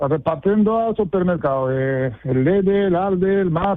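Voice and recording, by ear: The speech comes in a Moroccan accent at a fairly slow pace. Its intonation is lively. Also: man, high pitch for a man.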